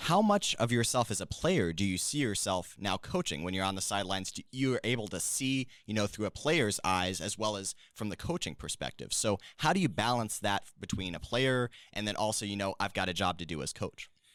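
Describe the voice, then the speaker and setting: Speaking at a fairly quick pace with hardly any pauses, a man with an unremarkable speaking voice uses lively intonation at a fairly low pitch. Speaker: student podcast host. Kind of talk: podcast interview. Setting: studio.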